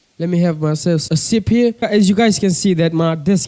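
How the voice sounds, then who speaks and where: This man's voice is high for a man, with a dark, mellow tone, a fairly quick pace and ordinary pitch variation. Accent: Kenyan coastal. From Kenya, Mombasa coast. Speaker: pigeon breeder, vlogger. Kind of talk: casual vlog monologue. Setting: bedroom at a desk, on camera. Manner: casual, repetitive fillers.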